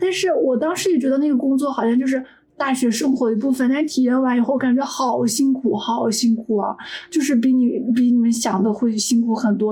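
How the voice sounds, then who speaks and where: Against noticeable background noise, a woman speaks at a fairly quick pace with a high pitch and ordinary pitch variation. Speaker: software engineer. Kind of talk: casual chat.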